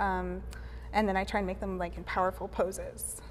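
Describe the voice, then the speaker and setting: A woman's voice over light background noise. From grew up in Pakistan, Vietnam and the US. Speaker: painter; guest. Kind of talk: casual interview. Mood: relaxed, thoughtful. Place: studio. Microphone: lapel.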